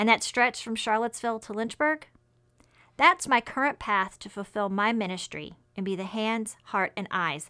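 A woman's moderate pace over a quiet background. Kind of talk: personal testimony. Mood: calm, reflective, devotional. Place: office.

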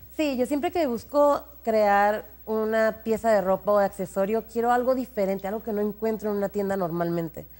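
A woman with a normal speaking voice talks at a moderate pace with hardly any pauses, using a fairly high pitch and ordinary pitch variation. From Mexico, Baja California. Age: 20s. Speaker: fashion designer; guest. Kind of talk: TV interview. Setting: studio. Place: studio. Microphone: lapel.

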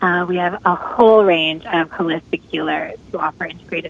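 A woman with an unremarkable speaking voice, a fairly low pitch and fairly even intonation. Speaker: trauma healing summit organizer. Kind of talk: interview. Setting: phone call.

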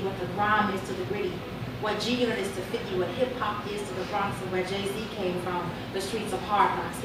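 A woman with an American accent speaks amid loud background noise and audible room echo. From Chicago. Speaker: poet. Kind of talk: spoken word poetry performance. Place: bar. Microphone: pa.

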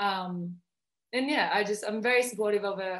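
The background stays quiet while the woman talks. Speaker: guest. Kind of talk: interview answer. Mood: cheerful, laughing. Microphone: video call.

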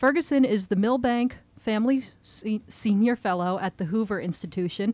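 Dark, mellow tone from a woman at a moderate pace, dry sound with no echo. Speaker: event host introducing the speaker. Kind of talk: reading a prepared introduction. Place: shop. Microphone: podium.

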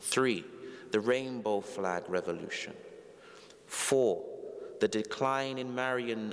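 A man speaks very slowly with a London accent, his pitch varying in an ordinary way. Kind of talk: homily, preacher addressing congregation. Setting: church. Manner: formal, earnest. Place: church. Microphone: lapel.

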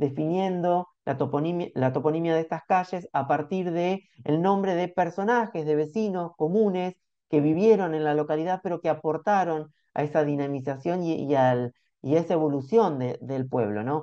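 Against a quiet background, a man speaks at a moderate pace with a Rioplatense accent. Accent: Argentine Spanish (rioplatense). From Argentina. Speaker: researcher, report author; report author. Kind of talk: academic presentation. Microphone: video call.

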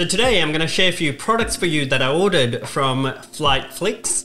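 Faint music in the background sits under the voice. The speaker is a man. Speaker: aviation content creator. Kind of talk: casual product review vlog. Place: home room.

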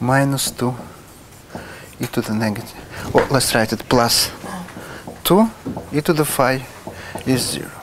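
Speaking with a Russian accent at a moderate pace, a man takes long, frequent pauses, his pitch varying in an ordinary way amid noticeable background noise. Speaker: mathematics professor. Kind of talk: lecture. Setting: lecture hall with audience. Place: classroom. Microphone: lapel.

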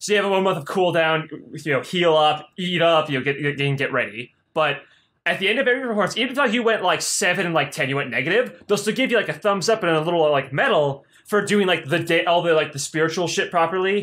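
Bright and sharp in tone, a man with a high pitch talks at a very fast pace with lively intonation. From United States. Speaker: podcast co-host. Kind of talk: casual chat.

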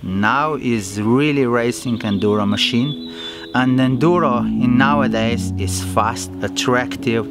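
Loud music plays in the background while a man talks at a fairly slow pace in a dry sound with no echo. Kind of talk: interview answer. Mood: enthusiastic, earnest. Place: open country.

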